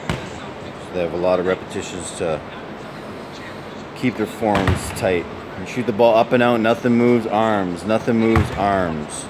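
Fairly slow speech from a man, with noticeable background noise. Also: ordinary pitch variation. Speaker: basketball coach. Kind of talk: tutorial commentary. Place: hall. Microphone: phone near.

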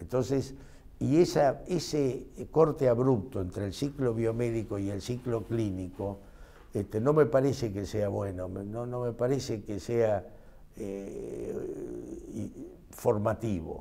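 A dark, mellow tone with vocal fry. The pitch moves in an ordinary way, and the pace is very slow. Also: man, medium pitch for a man. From Argentina, Mercedes, Buenos Aires province; Buenos Aires province, Argentina. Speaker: physician and medical professor; interviewee. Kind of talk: interview. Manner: hesitant, frequent filler este. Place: classroom. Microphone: lapel.

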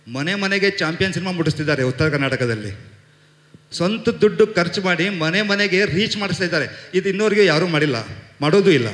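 With audible room echo around him, a man speaks in a high pitch with lively intonation. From North Karnataka (Hubballi); Karnataka. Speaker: film producer. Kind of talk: press event speech. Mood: confident, grateful. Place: stage. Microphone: handheld.

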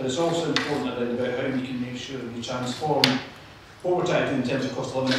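A man talks at a very fast pace. Strong room echo and noticeable background noise fill the recording. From Scotland. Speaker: politician chairing a panel. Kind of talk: panel moderation. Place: hall.

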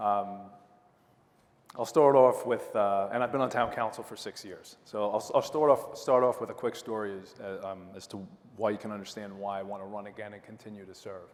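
This man has a Long Island accent and a fairly low pitch. He talks at a fairly quick pace with fairly even intonation but big swings in loudness. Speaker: town council candidate, lawyer. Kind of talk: candidate debate speech. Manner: casual, many fillers.

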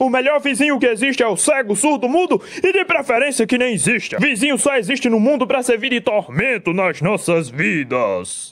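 A cartoonish character voice from a man, extremely high in pitch, at a moderate pace with hardly any pauses. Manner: angry, ranting.

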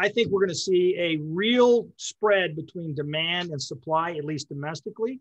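A man's high-pitched voice with ordinary pitch variation against a quiet background. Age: 50s. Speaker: oil and gas investment executive; guest. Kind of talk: webinar interview. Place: office. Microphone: webcam.

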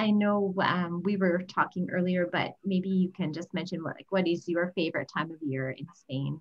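At a fairly slow pace, an ordinary speaking voice carries fairly even intonation. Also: woman. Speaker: travel advisor. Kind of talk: webinar hosting. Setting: video call.

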